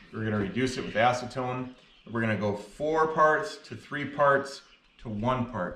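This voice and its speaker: The voice has a bright, sharp tone, with audible room echo and light background noise. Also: man. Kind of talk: tutorial. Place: garage. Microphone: camera far.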